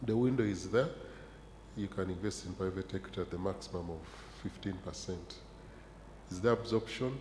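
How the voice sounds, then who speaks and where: With audible room echo around him, a man with a very deep, low voice that is somewhat breathy speaks at a moderate pace with ordinary pitch variation. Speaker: pension regulator panelist. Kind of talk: conference panel discussion.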